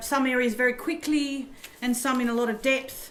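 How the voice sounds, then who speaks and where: A woman's high voice in an Australian accent at a moderate pace, with audible room echo. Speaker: professor. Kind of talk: lecture. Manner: halting.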